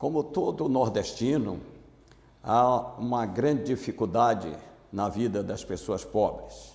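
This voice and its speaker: Lively intonation marks a man's medium-pitched voice, with audible room echo. He talks very slowly, with long, frequent pauses. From Bahia, Brazil (interior, near Feira de Santana). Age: 70s. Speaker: former navy marine, amnesty activist. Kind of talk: oral history interview.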